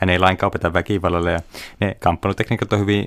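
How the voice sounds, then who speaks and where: Very deep and low, a man's voice rushes along at a very fast pace in a flat monotone. The very clean recording is dry and close, with no echo and a silent background. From Finland, Kuopio (Savo). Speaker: physician and kung fu teacher. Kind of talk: interview.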